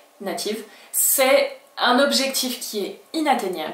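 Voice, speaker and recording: Lively intonation marks a woman speaking with a slight French accent. Noticeable background noise and audible room echo surround her. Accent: slight French accent when speaking Spanish. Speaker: Spanish language teacher. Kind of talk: video lesson.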